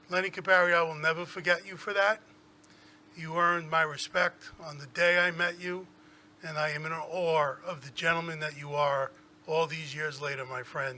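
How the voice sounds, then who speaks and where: A man with a New York accent talks at a moderate pace in a bright, sharp tone, fairly high in pitch, with fairly even intonation and big swings in loudness. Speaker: school superintendent. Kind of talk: tribute speech at board meeting. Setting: public board meeting.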